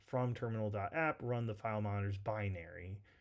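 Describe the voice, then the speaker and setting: On a very clean recording with a silent background, a man with an unremarkable speaking voice talks with fairly even intonation. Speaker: tech tutorial instructor. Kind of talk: tutorial. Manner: casual, filler-heavy.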